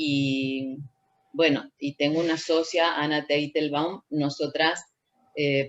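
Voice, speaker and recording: Very slow and flat in a monotone, a woman speaks at a very deep, low pitch. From Argentina, Tucumán. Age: 60s. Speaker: dancer, choreographer and researcher. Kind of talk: interview conversation.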